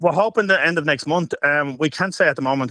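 In a Dublin accent, a man speaks very fast in a bright, sharp tone, with a dry, close sound with no echo and a quiet background. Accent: Dublin Irish. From Ireland, Dublin. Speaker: adult content creator. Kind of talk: radio interview.

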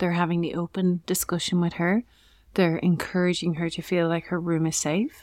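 A woman with an Irish accent talks at a moderate pace in a fairly low pitch, her intonation monotone and flat. The recording is very clean, with a silent background. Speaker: parenting podcast co-host. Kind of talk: casual chat.

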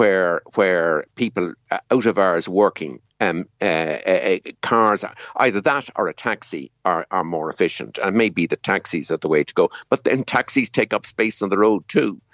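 The speaker talks at a moderate pace in a Dublin accent. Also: man. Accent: Irish (Dublin area). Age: 70s. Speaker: economist and former climate council chair. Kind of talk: radio interview discussion. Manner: hesitant, filler-heavy.

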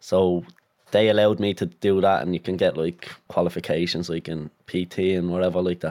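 A man talks at a fairly quick pace with a Dublin accent, his pitch very deep and low. His tone is dark and mellow, and his intonation stays fairly even. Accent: Dublin Irish. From Dublin North Inner City, Ireland. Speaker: footballer. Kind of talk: casual interview chat.

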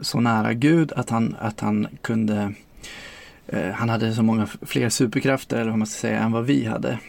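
The speech comes at a moderate pace with ordinary pitch variation, and noticeable background noise is present. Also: man. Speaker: former sect member. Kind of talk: testimony.

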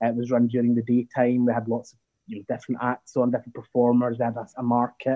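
The voice belongs to a man and is an unremarkable speaking voice. His pitch sits in the medium range, and he talks at a fairly quick pace. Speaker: Pride event director. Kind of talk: interview.

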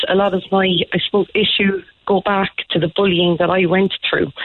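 With an Irish accent, a woman speaks at a moderate pace. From Ireland, small town. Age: 30s. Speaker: teacher. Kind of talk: phone-in testimony. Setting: phone call.

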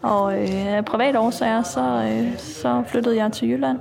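Very slow pace from a woman speaker. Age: 40s. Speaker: prison officer. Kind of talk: interview.

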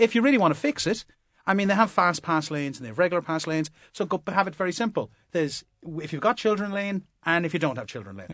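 Very fast speech with a Limerick accent and lively intonation, dry and close with no echo, over a quiet background. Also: man, high pitch for a man. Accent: Limerick Irish. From Limerick, Ireland. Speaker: comedian. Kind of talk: casual panel chat. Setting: studio.

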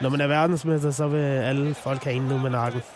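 Noticeable background noise behind a man with a fairly high voice. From Denmark, North Zealand. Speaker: professional esports player. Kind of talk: radio interview.

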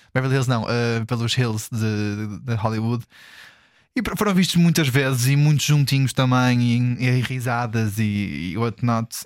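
A man speaks at a fairly slow pace with a medium pitch and ordinary pitch variation. The recording is very clean, with a silent background. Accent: European Portuguese. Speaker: podcast co-host. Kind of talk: casual chat.

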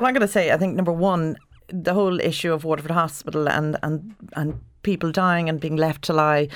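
A woman's fairly low-pitched voice with an Ulster accent, on a very clean recording with a silent background. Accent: Irish (Ulster border). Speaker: doctor. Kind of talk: panel discussion. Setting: studio.

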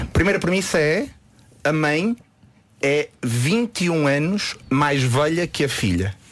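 Speaking very slowly, a man uses a fairly high pitch and lively intonation, with long, frequent pauses. His loudness stays very even, and background noise is noticeable. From Porto, northern Portugal. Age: young. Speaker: magician. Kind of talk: radio interview, casual chat.

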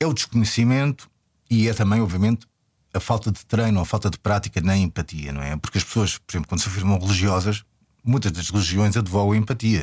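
Somewhat breathy, a man talks at a fairly quick pace and a fairly low pitch. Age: 40s. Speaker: filmmaker. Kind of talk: interview. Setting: radio studio. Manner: halting.

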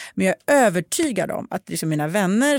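A woman's voice with very wide pitch swings at a moderate pace, dry and close with no echo, on a very clean recording with a silent background. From moved to Sweden at age five. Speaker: podcast host. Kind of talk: casual chat. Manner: animated.

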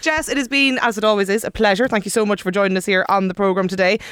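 On a very clean recording with a silent background, the speaker talks in an Irish accent. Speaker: radio host. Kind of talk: casual chat.

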